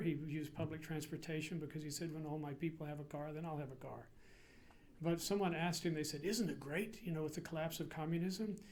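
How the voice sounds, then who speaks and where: Audible room echo surrounds a man with a New England accent who talks at a fairly quick pace, with a fairly high pitch and fairly even intonation. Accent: American (Yankee). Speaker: priest and seminary president. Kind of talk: public lecture. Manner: casual, hesitant with fillers.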